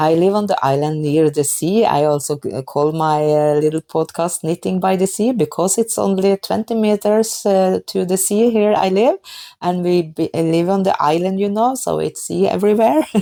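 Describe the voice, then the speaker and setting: A woman with a Norwegian accent, medium pitch, dark, mellow tone, ordinary pitch variation, very even loudness, moderate pace and hardly any pauses, in a very clean recording with a silent background. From Norway. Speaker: knitting podcaster. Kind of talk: casual podcast talk. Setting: kitchen at home. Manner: halting, many fillers.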